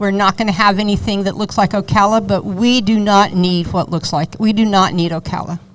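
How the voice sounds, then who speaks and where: At a moderate pace, a woman with a medium pitch speaks with ordinary pitch variation against noticeable background noise. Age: 70s. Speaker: horse show manager. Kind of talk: live podcast interview. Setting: live audience watch party. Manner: animated.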